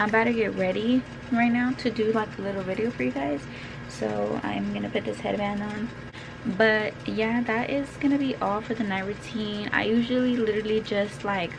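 A woman talks at a moderate pace. Background noise is noticeable. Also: ordinary pitch variation. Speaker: vlogger. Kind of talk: casual vlog chat. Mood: relaxed, a bit hurried. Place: home room. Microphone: phone near.

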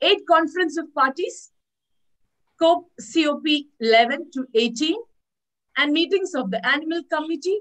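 A woman's voice with very wide pitch swings against a quiet background. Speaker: webinar host. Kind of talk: speaker introduction.

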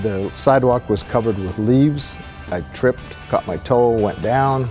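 A man with a Pacific Northwest accent and ordinary pitch variation, clear music in the background. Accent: Pacific Northwest American. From Seattle, Washington. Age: 60s. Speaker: amputee, prosthetic leg user. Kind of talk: testimonial interview answer. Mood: earnest, reflective.

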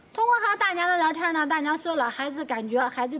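A woman talks at a fairly quick pace with lively intonation. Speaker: rural life vlogger. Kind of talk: casual interview questions. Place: open country.

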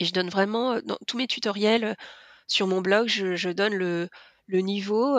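Here a woman speaks at a medium pitch and fairly slow pace with fairly even intonation, in a dry, close sound with no echo. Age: 40s. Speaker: lettering artist. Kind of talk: interview. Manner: hesitant, many fillers.

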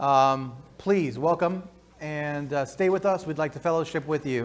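The speaker is a man. He talks at a moderate pace. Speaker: church announcer. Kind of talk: church announcements. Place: church. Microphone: lapel.

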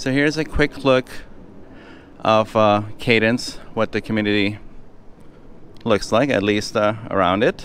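A man's fairly low voice with ordinary pitch variation and long, frequent pauses, in a dry sound with no echo and light background noise. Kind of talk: home tour commentary. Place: street. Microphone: phone near.

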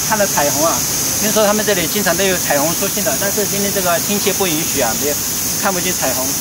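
A man speaks at a very fast pace over loud background noise. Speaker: travel vlogger. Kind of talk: casual vlog chat. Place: open country.

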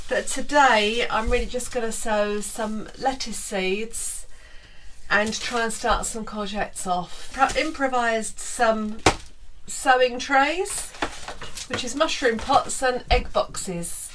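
A woman's high-pitched voice at a very slow pace, with ordinary pitch variation and noticeable background noise. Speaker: boat vlogger. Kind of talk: casual vlog chat. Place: boat. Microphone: camera far.

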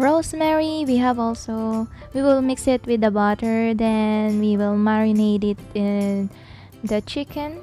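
Over music in the background, a woman talks at a very slow pace with lively intonation and a dry sound with no echo. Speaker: cooking vlog host. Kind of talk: casual voiceover narration.

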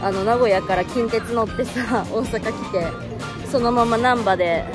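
Clear music plays behind a woman who speaks at a fairly slow pace with ordinary pitch variation in a dry sound with no echo. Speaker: actress vlogging solo travel. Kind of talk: casual vlog chat. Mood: cheerful, nostalgic, laughing. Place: street. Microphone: phone near.

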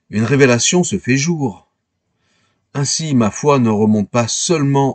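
A man speaks at a fairly high pitch against a quiet background. The sound is dry and close, with no echo. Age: 60s. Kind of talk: scripted narration.

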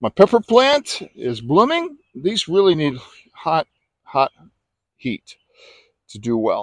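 A man with a high-pitched voice speaks at a fairly slow pace. The sound is dry, with no echo, over a quiet background. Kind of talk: casual garden tour narration. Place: garden. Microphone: phone near.

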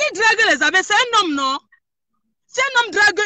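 Very fast and animated, a woman talks in a raised, projected voice at extremely high pitch with a bright, sharp tone. The sound is dry with no echo and the background quiet. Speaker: caller. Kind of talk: heated debate. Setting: in a car. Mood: firm, confrontational. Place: car. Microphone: phone near.

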